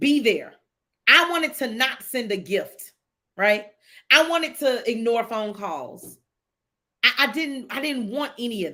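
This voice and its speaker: A woman's high-pitched, bright, sharp voice with an animated tone, fairly slow pace and long, frequent pauses on a very clean recording with a silent background. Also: lively intonation. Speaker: livestream host. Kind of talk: casual livestream talk with faith testimony.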